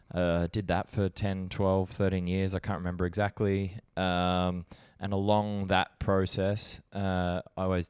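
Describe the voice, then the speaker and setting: On a very clean recording with a silent background, a man with a very deep, low pitch speaks slowly in a flat monotone. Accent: Australian. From Australia, Brisbane, Queensland. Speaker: documentary filmmaker. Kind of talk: podcast interview. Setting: on a couch. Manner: relaxed, hesitant with fillers.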